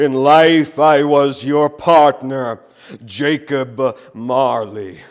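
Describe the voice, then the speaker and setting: A man puts on a character voice, fairly high in pitch. He speaks at a very slow pace. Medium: stage play. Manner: solemn, deliberate.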